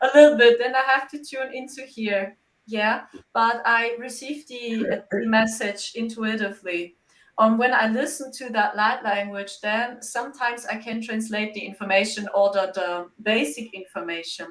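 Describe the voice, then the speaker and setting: A woman with a fairly high pitch speaks with a German accent. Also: ordinary pitch variation, moderate pace. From Germany. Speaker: psychic medium. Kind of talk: interview.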